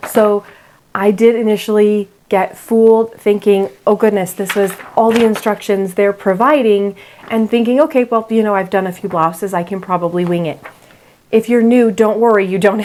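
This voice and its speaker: A woman speaks at a moderate pace and a fairly high pitch. Her intonation is fairly even, with noticeable background noise behind her. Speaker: sewing youtuber. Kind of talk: tutorial. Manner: casual, conversational.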